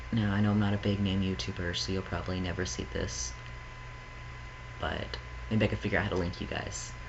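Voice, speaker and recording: A man speaks at a fairly quick pace in a very deep, low voice with very wide pitch swings, taking long, frequent pauses. Audible room echo and noticeable background noise are present in the recording. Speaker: vlogger; psychology student. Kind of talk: casual vlog monologue. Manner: fast; hyper, scattered.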